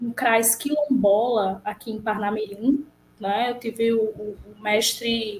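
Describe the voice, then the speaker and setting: With a northeastern Brazilian accent, the speaker goes at a very slow pace with ordinary pitch variation. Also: woman. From Brazil, Rio Grande do Norte interior. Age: 30s. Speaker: psychologist. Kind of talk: interview.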